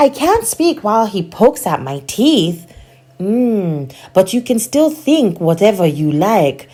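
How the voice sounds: What you hear is a natural reading voice.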